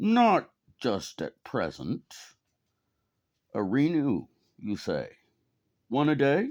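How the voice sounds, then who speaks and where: Using a put-on character voice, a man speaks very slowly in a croaky, fairly high pitch with long, frequent pauses, on a very clean recording with a silent background. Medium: read story. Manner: hesitant, croaky.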